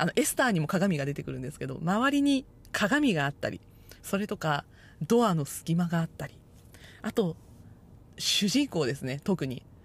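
In a very clean recording with a silent background, a somewhat breathy woman makes very wide pitch swings and takes long, frequent pauses. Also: fairly low pitch for a woman, moderate pace, big swings in loudness. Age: 30s. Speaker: podcast host. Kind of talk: solo podcast talk.

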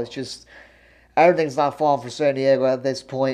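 In a quiet background, a man's voice comes through with a dark, mellow tone. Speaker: sports fan vlogger. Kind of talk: casual commentary monologue. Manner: filler-heavy, informal.

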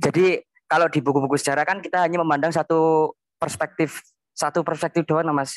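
A man talks at a fairly quick pace in a fairly high pitch. The sound is dry and close with no echo, and his intonation is monotone and flat. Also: quiet background. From Central Java, Semarang Regency. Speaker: university student. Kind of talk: casual interview.

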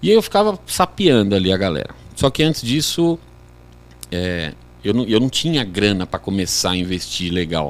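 A man with a fairly low pitch speaks at a moderate pace, his pitch swinging very widely. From Brazil, Guarulhos (São Paulo). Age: 40s. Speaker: sports betting trader, former futsal player. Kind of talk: casual podcast interview.

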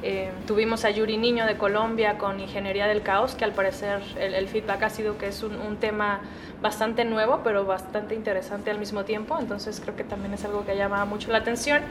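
A woman talks at a fairly quick pace and fairly high pitch, in a flat monotone with hardly any pauses. Audible room echo and noticeable background noise are present. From Guadalajara, Mexico. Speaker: recruiter and event organizer. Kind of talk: interview. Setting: at a conference.

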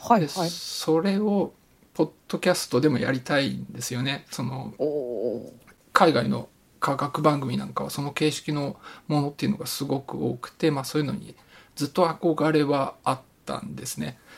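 The speaker is a man with a fairly high pitch. His voice carries vocal fry. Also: moderate pace. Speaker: podcast host presenting research papers. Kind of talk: casual chat. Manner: flat, little emotion.

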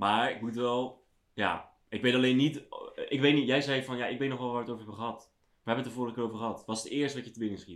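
Fairly even in intonation, a man speaks at medium pitch and a very fast pace. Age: 20s. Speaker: podcast co-host. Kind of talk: casual chat. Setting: empty room at home.

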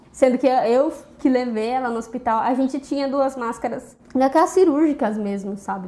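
Her pitch high and her variation ordinary, a woman speaks at a moderate pace. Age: 20s. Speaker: biology student and teacher. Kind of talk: interview testimony.

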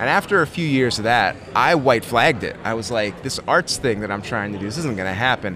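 With hardly any pauses, a man in an American accent talks at a fairly quick pace and medium pitch, his intonation lively, as music plays in the background. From Connecticut, US. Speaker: woodworking YouTuber and author. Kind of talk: casual interview. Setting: convention venue.

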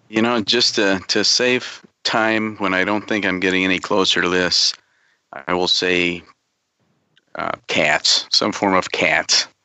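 In a plain, everyday voice with an American accent, a man speaks at a fairly slow pace and fairly low pitch, with fairly even intonation and very even loudness. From northern Illinois. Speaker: network infrastructure engineer, quiz contestant. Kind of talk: casual quiz banter.

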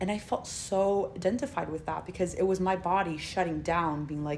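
Using an unremarkable speaking voice, a woman with an American accent talks at a fairly quick pace, her fairly low pitch showing ordinary variation. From Spain. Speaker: guest. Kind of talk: casual chat.

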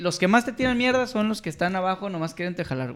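A man's high voice at a fairly quick pace, with lively intonation. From Puerto Vallarta, Mexico. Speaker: podcast co-host. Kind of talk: casual chat.

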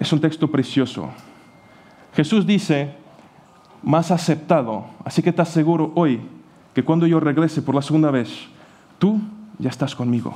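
A man with a non-native accent speaks at a moderate pace, with long, frequent pauses. His pitch is fairly high with ordinary variation, and his loudness is very even. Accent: foreign accent in Spanish. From Portugal. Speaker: pastor. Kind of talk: sermon. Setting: church.

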